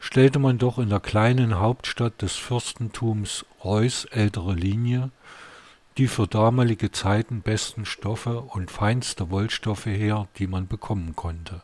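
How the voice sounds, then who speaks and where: He has a plain, everyday voice, fairly low in pitch, with fairly even intonation. This man talks at a fairly slow pace, in a dry, close sound with no echo. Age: 50s. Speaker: podcaster and author, retired architect. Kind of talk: podcast introduction; reading aloud from his novel.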